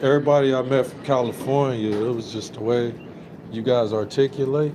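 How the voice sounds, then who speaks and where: With an American accent, a man talks at a fairly quick pace and medium pitch with fairly even intonation. Noticeable background noise and audible room echo fill the recording. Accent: sounds country. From Dayton, Ohio. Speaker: Air Force veteran, livestreamer. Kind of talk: casual chat.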